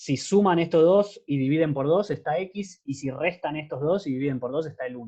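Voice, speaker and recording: With hardly any pauses, a man with a dark, mellow tone speaks at a fairly high pitch with ordinary pitch variation. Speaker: math teaching assistant. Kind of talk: lecture. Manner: fast.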